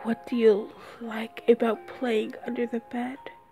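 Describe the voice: Whispering in a gravelly put-on character voice, a woman speaks at a fairly slow pace over clear background noise.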